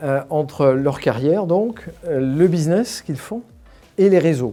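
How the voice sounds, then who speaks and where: This man's intonation is lively as he talks at a fairly slow pace. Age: 60s. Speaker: alumni association volunteer leader, former company executive. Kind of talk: interview. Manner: hesitant, many fillers and repetitions.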